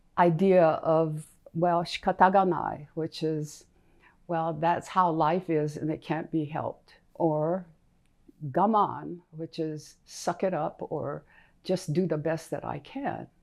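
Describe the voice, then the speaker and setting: A woman speaks very slowly with a fairly low pitch and fairly even intonation. The recording is very clean, with a silent background. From US West Coast, Los Angeles. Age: 90s. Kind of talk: personal testimony.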